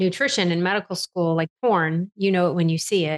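Heard dry and close with no echo, a woman with an unremarkable speaking voice talks at a fairly low pitch with ordinary variation. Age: 50s. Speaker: physician. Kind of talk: interview.

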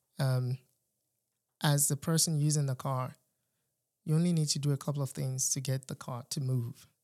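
A somewhat breathy male voice with monotone, flat intonation at a moderate pace, dry and close with no echo, on a very clean recording with a silent background. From Nigeria. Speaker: engineer turned business student. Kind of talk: casual interview.

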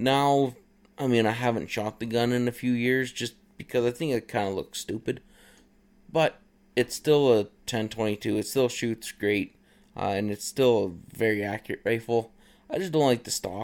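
With a relaxed tone, a man talks at a moderate pace and medium pitch with ordinary pitch variation, in a very clean recording with a silent background. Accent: western Canadian. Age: 30s. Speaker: outdoors podcast host. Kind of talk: casual monologue. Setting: recording at his workplace. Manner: relaxed, frequent fillers.

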